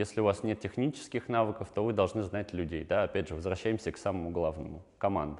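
Against a quiet background, a man with a fairly low pitch talks at a very fast pace with hardly any pauses, big swings in loudness and ordinary pitch variation. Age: 20s. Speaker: online entrepreneur; guest. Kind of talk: talking-head interview answers. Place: studio. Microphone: lapel.

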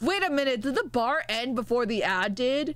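A woman with a high-pitched voice speaks at a fairly slow pace. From Mexico. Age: 20s. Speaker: vtuber streamer. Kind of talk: casual chat. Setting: live stream.

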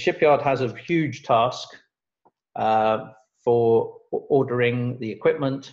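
A man talks at a very slow pace against a quiet background. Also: ordinary pitch variation. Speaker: presenter. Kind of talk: lecture. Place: home room. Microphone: webcam.

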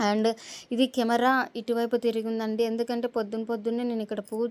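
The recording is very clean, with a silent background. A woman speaks in a fairly high pitch with monotone, flat intonation. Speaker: vlogger and working mother. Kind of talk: voice-over vlog narration. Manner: sometimes dull-sounding.

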